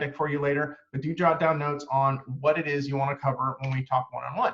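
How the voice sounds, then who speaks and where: A man's fairly high voice at a very fast pace. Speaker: marketing agency owner presenting a webinar. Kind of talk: webinar presentation. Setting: online webinar. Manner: many fillers, um and uh.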